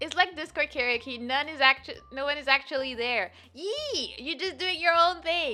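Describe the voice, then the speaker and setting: Her voice raised and projected, a woman speaks at a high pitch with lively intonation, keeping a moderate pace with hardly any pauses. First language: not English. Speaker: streamer. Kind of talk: casual chat. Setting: live stream. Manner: animated.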